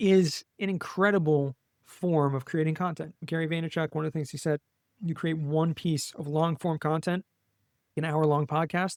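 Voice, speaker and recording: Recorded with a dry, close sound and no echo, a man with an American accent and a normal speaking voice talks at a moderate pace, his fairly high pitch held in fairly even intonation. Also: very clean recording, silent background. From US West Coast, Los Angeles. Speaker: tax savings specialist, podcast guest. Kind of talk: interview.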